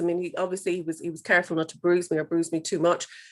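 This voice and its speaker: In an Irish accent, a woman speaks at a fairly low pitch on a very clean recording with a silent background. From Ireland. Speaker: guest speaker, abuse survivor. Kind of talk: talk to students, personal testimony. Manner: halting, many fillers.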